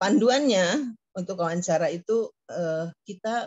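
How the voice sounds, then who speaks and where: A woman's somewhat breathy voice. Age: 70s. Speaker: professor. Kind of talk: lecture. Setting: video call. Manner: halting, many fillers.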